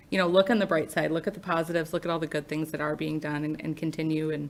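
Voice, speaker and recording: A woman speaks at a very fast pace in a very deep, low voice. Her intonation is monotone and flat. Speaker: mayor. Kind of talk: public meeting remarks. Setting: city commission meeting chamber.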